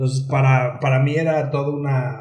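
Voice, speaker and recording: Somewhat breathy and monotone, a man with a medium-pitched voice talks in a flat tone over audible room echo. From Mexico, San Luis Potosí. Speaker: psychologist and LGBT rights activist. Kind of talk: interview, casual chat.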